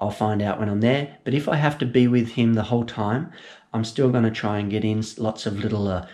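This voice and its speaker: A man talks with an Australian accent. His pitch sits fairly low and his intonation stays fairly even. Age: 40s. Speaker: amateur runner. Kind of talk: casual talk to camera. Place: kitchen. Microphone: phone near.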